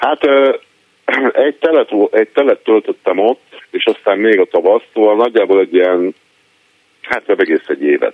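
A man talks at a moderate speed. His pauses are long and frequent. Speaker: caller. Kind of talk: casual chat. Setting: phone call.

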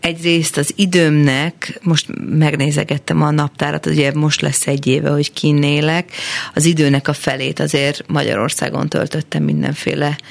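A woman speaks with very deep, low pitch and a monotone, flat intonation at very even loudness. Noticeable background noise sits behind her. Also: moderate pace. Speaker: singer-songwriter. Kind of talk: casual interview. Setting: studio.

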